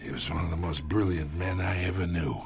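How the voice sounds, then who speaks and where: Putting on a raspy character voice with a very deep, low pitch, a man speaks at a fairly quick pace over clear background noise. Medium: cartoon. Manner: smug, taunting, chuckling.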